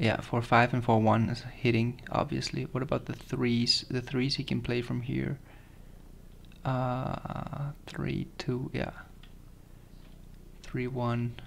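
Slow pace, little pitch movement, vocal fry and long, frequent pauses. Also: man, medium pitch for a man.

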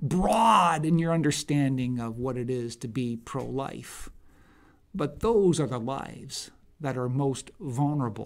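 Fairly slow speech from a man, with a quiet background. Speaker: political commentator. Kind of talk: opinion commentary to camera.

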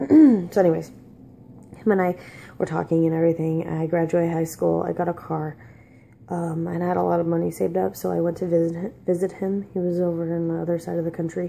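Quiet and dark, mellow in tone, a woman speaks at a very fast pace in a monotone, flat intonation over light background noise. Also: fairly low pitch for a woman. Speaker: vlogger. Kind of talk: personal storytelling. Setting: at home. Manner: casual, halting. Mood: weary, reflective storytelling. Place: kitchen. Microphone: phone near.

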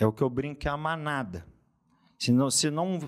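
A man is talking, his pitch variation ordinary. Behind him the background stays quiet. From Minas Gerais, Brazil. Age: 30s. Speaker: lawyer and fitness influencer; lawyer, fitness influencer. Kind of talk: casual interview chat. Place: studio. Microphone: studio mic.

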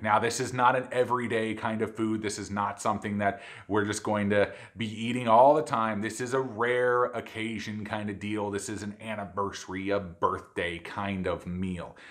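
A man with an unremarkable speaking voice talks at a fairly low pitch and a moderate pace, with fairly even intonation and hardly any pauses, over a quiet background. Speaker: cooking channel host. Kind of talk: cooking show intro.

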